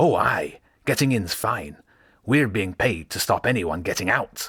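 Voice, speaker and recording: A man performs a put-on character voice at a moderate pace in a very clean recording with a silent background. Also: fairly low pitch for a man. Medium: read story. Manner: brash, bantering.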